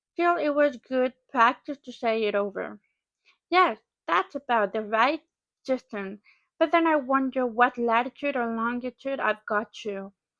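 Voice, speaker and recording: Against a quiet background, a woman with a non-native accent speaks at a fairly slow pace with ordinary pitch variation, in a dry, close sound with no echo. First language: not English. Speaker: English learner. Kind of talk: read-aloud of a classic novel.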